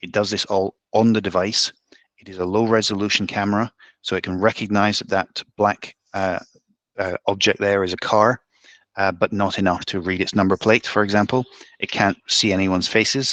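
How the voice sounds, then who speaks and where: A man's fairly low, monotone voice with flat intonation and big swings in loudness. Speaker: community manager for a traffic-counting device company. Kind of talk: webinar presentation. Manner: fast.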